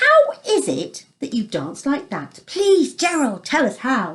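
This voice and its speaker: A woman speaks in a put-on character voice pitched high. She goes at a fairly slow pace. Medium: read story.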